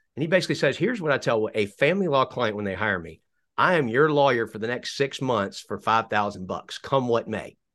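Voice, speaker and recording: At a fairly quick pace, a man with a plain, everyday voice and a medium pitch uses lively intonation over a quiet background. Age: 50s. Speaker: lawyer and podcast host. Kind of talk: casual interview.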